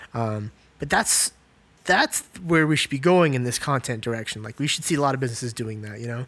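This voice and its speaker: Delivered at a fairly quick pace, this is a plain, everyday voice with ordinary pitch variation. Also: man, medium pitch for a man. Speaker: podcast host, creative agency co-owner. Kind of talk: casual podcast conversation.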